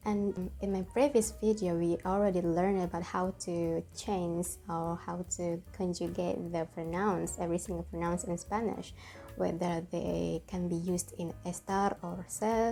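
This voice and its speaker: A woman speaks in an Indonesian accent. Her pace is fairly slow. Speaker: language teacher. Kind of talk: tutorial. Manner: halting, with fillers.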